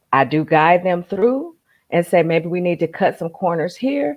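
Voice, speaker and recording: With a normal speaking voice, a woman talks in a fairly low pitch using lively intonation. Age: 60s. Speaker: life coach. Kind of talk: casual chat.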